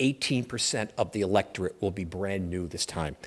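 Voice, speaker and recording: A man talks in a New York accent. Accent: New York American. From US, New York. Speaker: political analyst, conference speaker. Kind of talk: conference presentation. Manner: fast.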